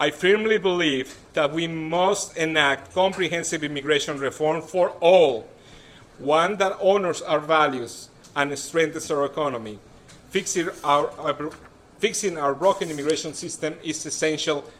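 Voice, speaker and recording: In a strong Mexican accent, a man speaks at a moderate pace with a fairly high voice and ordinary pitch variation. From Mexico City. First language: Spanish. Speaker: political candidate. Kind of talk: campaign speech. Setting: stage with audience.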